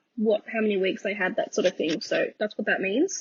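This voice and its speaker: A woman with an Australian accent. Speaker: planner YouTuber. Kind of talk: voiceover narration. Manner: casual, hesitant with ums.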